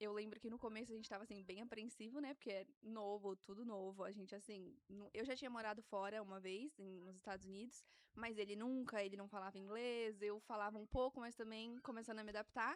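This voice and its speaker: A woman's plain, everyday voice, fairly high-pitched and fairly quick, with fairly even intonation and hardly any pauses. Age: 20s. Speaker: guest mother sharing birth story. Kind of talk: casual interview chat. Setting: studio.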